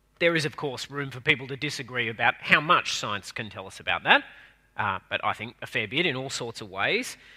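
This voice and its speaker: A man with an Australian accent speaks at a fairly quick pace in a medium pitch with ordinary pitch variation. His tone is bright and sharp, with big swings in loudness. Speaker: minister. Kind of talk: sermon. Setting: church.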